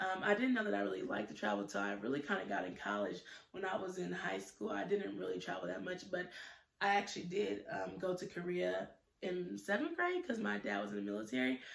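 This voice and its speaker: A woman's very deep, low voice at a very fast pace, with very wide pitch swings and audible room echo. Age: 20s. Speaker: YouTuber, student; YouTuber. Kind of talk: casual vlog monologue. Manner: hesitant, many fillers. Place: home room. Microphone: phone near.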